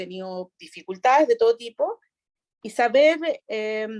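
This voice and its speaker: In a dry, close sound with no echo, a woman speaks at a moderate pace with very wide pitch swings. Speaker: regional prosecutor. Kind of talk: interview answer.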